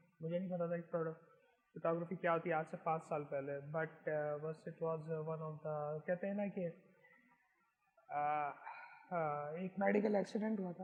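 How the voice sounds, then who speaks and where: A man's fairly high-pitched voice with fairly even intonation and long, frequent pauses. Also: moderate pace. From Pakistan, Karachi. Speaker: photographer. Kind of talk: interview.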